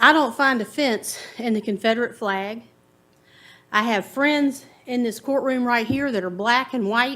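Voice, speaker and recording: A woman with a Virginia accent speaks at a fairly slow pace, her pitch high and her tone bright and sharp. The recording is very clean, with a silent background. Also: ordinary pitch variation. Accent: Southern US (Virginia). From US South, Farmville, Virginia. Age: 50s. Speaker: resident giving public comment. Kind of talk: public comment at county board meeting. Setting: public meeting in a courtroom.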